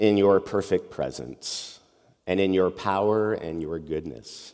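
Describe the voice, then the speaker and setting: The voice belongs to a man. Its pitch rises and falls in an ordinary way. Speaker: pastor. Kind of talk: sermon. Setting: church.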